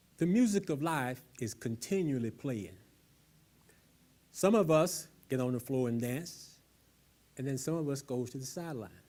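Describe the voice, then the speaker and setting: A man's fairly high-pitched voice with a dark, mellow tone, lively intonation, a slight Southern US accent and a moderate pace. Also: long, frequent pauses. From US South. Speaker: speaker at a public talk. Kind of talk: public talk.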